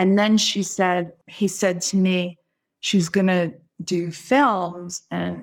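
A woman's normal speaking voice with an American accent, fairly low pitch for a woman and fairly even intonation, on a very clean recording with a silent background. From Brooklyn, New York. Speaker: psychic medium. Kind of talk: casual chat.

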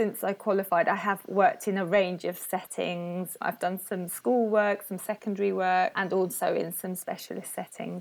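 A woman speaks with hardly any pauses. Her intonation is fairly even. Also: medium pitch for a woman, moderate pace. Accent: British. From England. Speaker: speech and language therapist. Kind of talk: casual interview.

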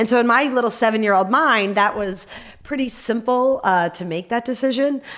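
A woman's plain, everyday voice, fairly high-pitched, at a moderate pace with ordinary pitch variation. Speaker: Paralympic athlete and amputee. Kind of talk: interview. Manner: frequent fillers (um).

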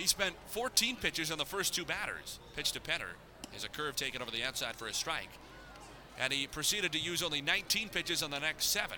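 There is noticeable background noise. A man speaks at a fairly quick pace in an animated tone with lively intonation. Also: fairly high pitch for a man. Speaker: baseball play-by-play announcer. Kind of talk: live baseball play-by-play commentary. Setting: ballpark broadcast. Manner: rapid-fire, animated call of each pitch and catch.

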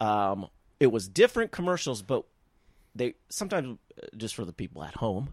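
A man of medium pitch speaks at a fairly quick pace with very wide pitch swings and long, frequent pauses. The recording is very clean, with a silent background and a dry, close sound with no echo. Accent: American. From US Midwest. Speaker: actor. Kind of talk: casual chat.

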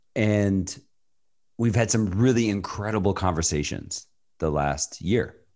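At a fairly slow pace, a man with an unremarkable speaking voice talks at a fairly low pitch, his loudness very even and his pitch varying in an ordinary way over a quiet background. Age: 40s. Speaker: creative agency leader. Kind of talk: interview conversation.

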